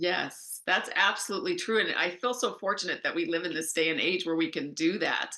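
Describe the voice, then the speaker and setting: A woman talks at a fairly quick pace with hardly any pauses. She has a plain, everyday voice at medium pitch with ordinary pitch variation. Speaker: life coach. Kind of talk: interview.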